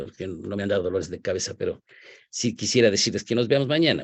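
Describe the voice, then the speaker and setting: Speaking at a very fast pace, a man uses lively intonation at a fairly low pitch. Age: 70s. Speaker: professor. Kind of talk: lecture. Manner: halting.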